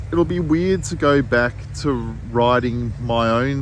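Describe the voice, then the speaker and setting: Over noticeable background noise and audible room echo, a man talks at a medium pitch with lively intonation. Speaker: writer and artist. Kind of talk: casual monologue. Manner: halting, searching for words.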